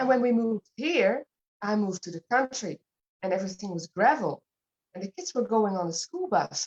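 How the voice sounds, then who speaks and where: Speaking with a Dutch accent, a woman with a fairly high voice talks at a fairly quick pace. Her pitch swings very widely, and the sound is dry and close with no echo. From Netherlands. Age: 50s. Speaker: fitness program client. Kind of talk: interview.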